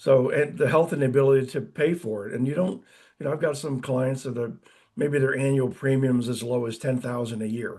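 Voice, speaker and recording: Somewhat breathy with a dark, mellow tone, a man speaks fairly quickly at a medium pitch with ordinary pitch variation. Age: 60s. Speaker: insurance and finance advisor. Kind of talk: interview. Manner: casual, hesitant with many fillers.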